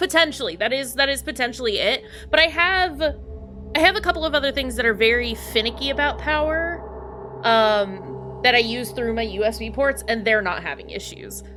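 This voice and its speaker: A fairly quick-talking woman over noticeable background noise. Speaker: video game streamer. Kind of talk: casual chat. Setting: live stream. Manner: loud at times; halting, repeats words.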